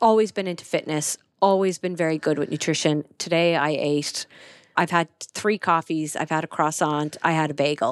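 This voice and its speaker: A woman speaks with an Irish accent. The recording is very clean, with a silent background and a dry, close sound with no echo. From Ireland, County Kerry. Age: 30s. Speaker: corporate lawyer and entrepreneur. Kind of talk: casual interview chat.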